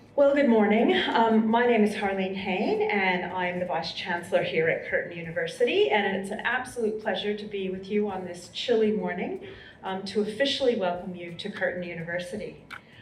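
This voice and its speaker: A woman with an American accent and a medium-pitched voice talks at a fairly quick pace with hardly any pauses, ordinary pitch variation and big swings in loudness, over noticeable background noise and audible room echo. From US, Colorado. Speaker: university vice-chancellor. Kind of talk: welcome speech. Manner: formal.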